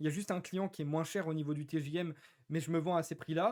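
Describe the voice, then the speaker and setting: The recording is very clean, with a silent background. A man speaks at a very fast pace with fairly even intonation. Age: 20s. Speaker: freelance web developer and YouTuber. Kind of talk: casual talk to camera. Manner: frequent filler hesitations.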